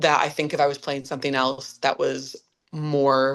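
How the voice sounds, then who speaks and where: With an American accent, a woman speaks at a very deep, low pitch. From upstate New York, Clifton Park. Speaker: musical theatre actress. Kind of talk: podcast interview. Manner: animated.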